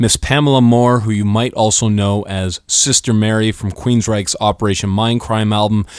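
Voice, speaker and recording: The recording is very clean, the background silent. A man with medium pitch and an ordinary speaking voice talks at a moderate pace. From Canada, Windsor Ontario. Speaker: radio host. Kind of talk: radio interview.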